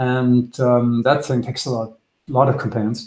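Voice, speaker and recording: A man with a German accent speaks in a somewhat breathy voice. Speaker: trader. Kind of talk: webinar presentation. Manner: fast; halting.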